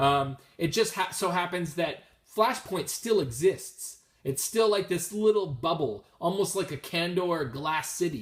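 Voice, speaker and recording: A man mumbles at a fairly slow pace. His somewhat breathy voice has lively intonation. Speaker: comic book collector. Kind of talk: casual talk to camera. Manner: mumbling, hesitant, many filler words.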